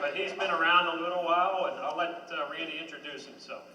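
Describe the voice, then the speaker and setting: Noticeable background noise and audible room echo fill the recording. A man with a fairly high pitch talks at a fairly quick pace. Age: 60s. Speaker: gospel group member hosting benefit concert. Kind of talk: stage announcements. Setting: stage with audience.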